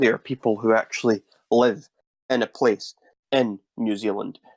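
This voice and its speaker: With a Scottish accent, a man speaks at a medium pitch and a fairly slow pace. His intonation is monotone and flat, and the sound is dry and close with no echo. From Scotland. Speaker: YouTuber. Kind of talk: interview.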